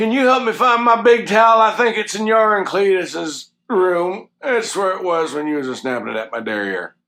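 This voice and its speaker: A man puts on a whiny character voice, high in pitch with lively intonation. His pace is moderate, with hardly any pauses. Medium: comedy sketch. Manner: frazzled, whiny.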